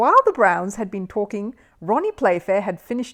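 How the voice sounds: Natural voice used for reading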